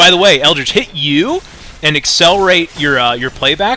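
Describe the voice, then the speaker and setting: The voice's pitch swings very widely against noticeable background noise. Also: man. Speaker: esports caster. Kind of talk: live commentary. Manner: stutters at times.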